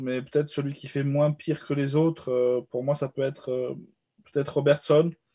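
The man's tone is dark and mellow, with a fairly high pitch. He speaks at a moderate pace. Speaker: football podcast panelist. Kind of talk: casual chat.

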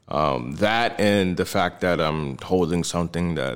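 A man speaks with an American accent at a fairly slow pace. His very deep, low pitch carries vocal fry and lively intonation. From New Jersey. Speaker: crypto investor. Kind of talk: casual chat.

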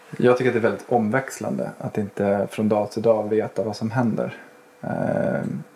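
Amid noticeable background noise, a man speaks with a fairly low pitch and fairly even intonation. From Sweden, Stockholm. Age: 40s. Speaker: police chief. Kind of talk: casual interview.

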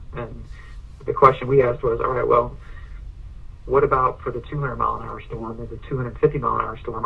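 A moderate pace of speech under noticeable background noise. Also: man. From Ohio. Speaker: home building company president. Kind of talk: interview.

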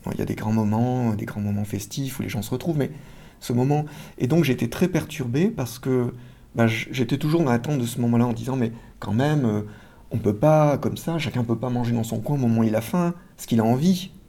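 The man's voice sits at medium pitch with a dark, mellow tone. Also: ordinary pitch variation, fairly quick pace. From France. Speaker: social psychology professor. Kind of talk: interview. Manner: halting, frequent word repetitions.

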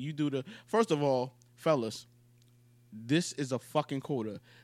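A man's unremarkable speaking voice at medium pitch and a fairly slow pace, on a very clean recording with a silent background. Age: 20s. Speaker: podcast co-host. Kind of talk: casual chat.

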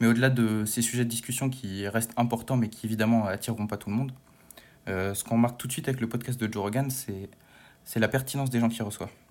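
Rattling along at a very fast pace, a man speaks in a monotone, flat delivery at medium pitch. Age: 20s. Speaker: history student and podcast columnist. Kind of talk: casual chat.

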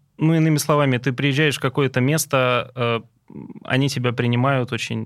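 On a very clean recording with a silent background, a normal speaking voice moves at a moderate pace with fairly even intonation. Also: man. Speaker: chef. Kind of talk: casual chat. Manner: terse.

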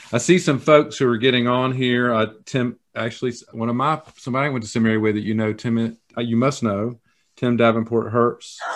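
A man with a Southern US accent at a medium pitch, fairly quick in pace, with fairly even intonation. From US South. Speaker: church foundation director. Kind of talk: interview.

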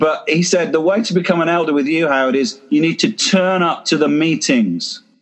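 A man with an English accent, high in pitch, at a moderate pace with ordinary pitch variation. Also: hardly any pauses. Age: 50s. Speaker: church planter. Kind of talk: talk to online group. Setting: video call.

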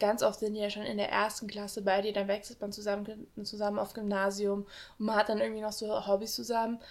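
Her pace is moderate. The woman's intonation is monotone and flat. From Saarland region, Germany. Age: 20s. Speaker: university student. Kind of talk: casual chat.

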